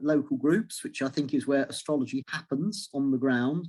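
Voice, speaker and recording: The recording is very clean, with a silent background. A man speaks in an English accent. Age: 60s. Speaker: astrology lecturer and author. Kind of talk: interview. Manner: halting.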